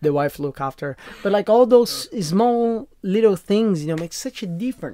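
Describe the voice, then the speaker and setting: Lively intonation marks this man's high-pitched voice, which has a dark, mellow tone. He speaks at a moderate pace. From Brazil, Sao Paulo. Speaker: chef, podcast host. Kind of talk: casual chat. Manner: animated; halting.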